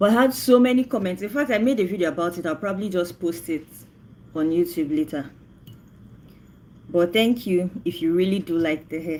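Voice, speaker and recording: Delivered in a Nigerian accent, the speech has lively intonation and a fairly quick pace. Long pauses come often. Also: woman, fairly low pitch for a woman. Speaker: livestreamer. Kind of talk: casual chat.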